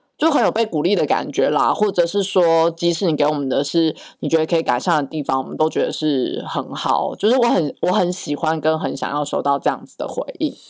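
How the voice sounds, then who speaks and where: Her pitch sits fairly low, and her intonation is lively. The woman talks at a fairly quick pace with hardly any pauses. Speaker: podcast co-host. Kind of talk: casual chat.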